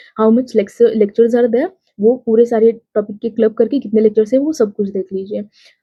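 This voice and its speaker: Here a woman speaks in a fairly high pitch, somewhat breathy. Her intonation stays fairly even. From India, Maharashtra. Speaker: exam aspirant vlogger. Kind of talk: casual tutorial. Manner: Hindi-English code-switching with fillers.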